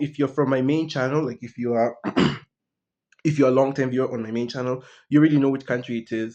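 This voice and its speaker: Speaking at a very fast pace, a man with a fairly high voice keeps his intonation fairly even. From East Africa. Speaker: YouTuber. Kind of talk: casual vlog monologue. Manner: casual, halting with fillers.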